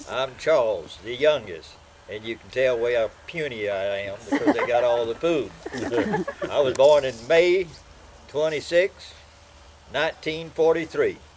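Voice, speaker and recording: Against noticeable background noise, a man with a fairly high pitch and an American accent talks at a fairly slow pace with lively intonation, big swings in loudness and long, frequent pauses. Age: 80s+. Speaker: interviewee recalling family history. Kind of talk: oral history interview.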